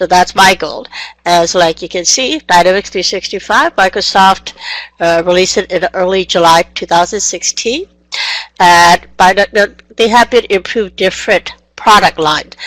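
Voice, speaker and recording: Heard in a dry, close sound with no echo, a woman with a non-native accent speaks at a moderate pace with ordinary pitch variation. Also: medium pitch for a woman. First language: not English. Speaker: software trainer. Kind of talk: online training session. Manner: energetic.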